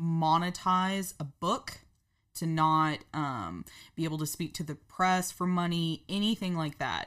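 Her intonation fairly even, a woman is captured on a very clean recording with a silent background. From Oklahoma City, Oklahoma. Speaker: writer. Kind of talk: casual chat.

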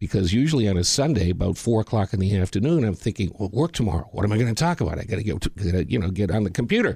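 A man's fairly low, somewhat breathy voice with a dark, mellow tone, a very fast pace, hardly any pauses, lively intonation and very even loudness. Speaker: retired radio broadcaster. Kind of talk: casual interview. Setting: studio.

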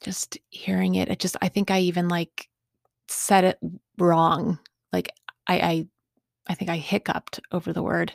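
In a very clean, dry, close recording with no echo and a silent background, a woman speaks at a fairly low pitch. Her delivery is flat and monotone at a moderate pace, with long, frequent pauses. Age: 40s. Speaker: podcast host in recovery. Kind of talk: personal testimony monologue. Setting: home recording studio. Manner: halting with repetitions.

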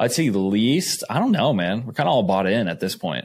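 A plain, everyday voice moves at a fairly quick pace with lively intonation. The recording is very clean with a silent background. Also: man. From Arizona, Phoenix. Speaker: NFL quarterback. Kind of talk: casual chat.

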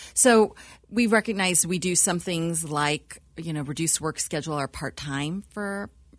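A woman with an American accent and a plain, everyday voice speaks at a fairly slow pace in a fairly low pitch. The recording is very clean with a silent background. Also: ordinary pitch variation. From US. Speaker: church staff member and co-founder. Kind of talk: panel interview, casual chat.

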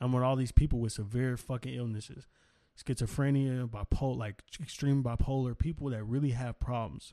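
A man with an American accent, a dark, mellow tone and fairly even intonation. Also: medium pitch for a man, moderate pace, quiet background. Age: 20s. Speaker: podcaster. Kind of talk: casual chat.

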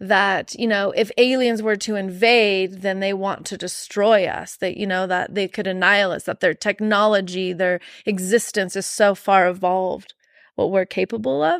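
A woman with an American accent speaks in an unremarkable speaking voice at medium pitch, her intonation fairly even. Her pace is moderate, and the recording is very clean with a silent background. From Arizona, US Southwest. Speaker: energy healer. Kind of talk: casual chat.

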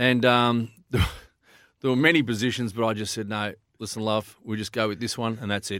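In an Australian accent, a man talks at a medium pitch and a fairly quick pace with fairly even intonation, on a very clean recording with a silent background. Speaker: footy show panelist. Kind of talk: casual banter and footy analysis. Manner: rambling, halting with fillers, jokey.

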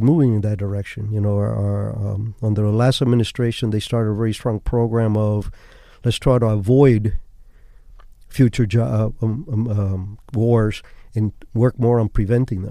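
A man's dark, mellow tone at a moderate pace, fairly even in intonation, on a very clean recording with a silent background. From Cuba. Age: 70s. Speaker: former CIA officer and author. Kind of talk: casual interview chat. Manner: halting, repeats words.

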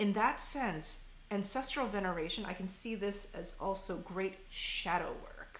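An unremarkable speaking voice with an American accent and ordinary pitch variation. The pace is fairly slow. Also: woman, medium pitch for a woman. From Korean American. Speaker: podcast host. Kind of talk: interview.

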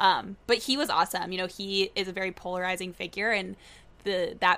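At a moderate pace, a woman with an American accent speaks at medium pitch with fairly even intonation. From Tallahassee, Florida. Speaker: podcast host, journalist. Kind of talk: casual interview.

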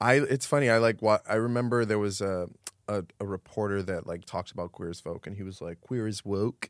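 In a dry, close sound with no echo, a man with an American accent and an unremarkable speaking voice talks at a fairly quick pace, his fairly low pitch showing ordinary pitch variation and big swings in loudness. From Miami, Florida. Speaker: actor. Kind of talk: casual chat.

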